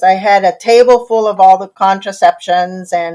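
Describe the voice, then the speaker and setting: A woman with an American accent, medium pitch, ordinary pitch variation and a moderate pace. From Tijuana, Mexico and southern California. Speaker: clinical psychologist and intimacy coach. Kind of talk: podcast interview. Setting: remote recording. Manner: animated.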